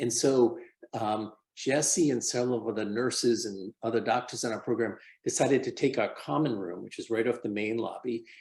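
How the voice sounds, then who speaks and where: This is a man's voice at a medium pitch. His pitch variation is ordinary. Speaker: homeless health care physician. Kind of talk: presentation in online community meeting. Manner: fast.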